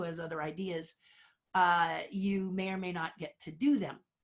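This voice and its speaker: This woman speaks at a moderate pace, her medium-pitched voice somewhat breathy. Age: 60s. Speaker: theme park designer and puppeteer. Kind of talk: interview.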